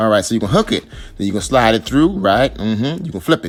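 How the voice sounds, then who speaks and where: A man in a South Carolina accent, very fast and animated, medium in pitch with lively intonation, music playing in the background. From US South, Charleston, South Carolina. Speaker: husband doing comedic voiceover. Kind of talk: comedic tutorial voiceover. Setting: voiceover recording.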